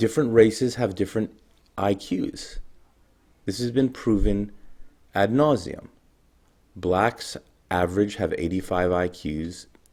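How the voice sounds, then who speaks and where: Soft-spoken and fairly low in pitch, a man talks at a fairly slow pace with long, frequent pauses. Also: ordinary pitch variation. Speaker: video blogger. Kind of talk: monologue to camera.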